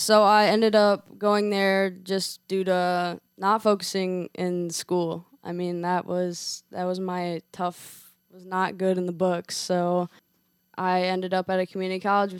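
In an American accent, a woman speaks at a fairly slow pace with a medium pitch, monotone, flat intonation and big swings in loudness, on a very clean recording with a silent background and a dry, close sound with no echo. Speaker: former college softball player. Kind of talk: interview. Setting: studio.

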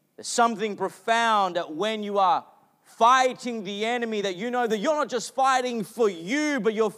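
A man with an Australian accent speaks at a moderate pace in an extremely high pitch, his pitch varying in an ordinary way, on a very clean recording with a silent background. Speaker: pastor. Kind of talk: sermon. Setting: church.

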